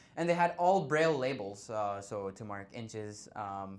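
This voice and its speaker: A man's medium-pitched voice with very wide pitch swings and audible room echo. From India. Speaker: blind university student. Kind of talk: conference talk.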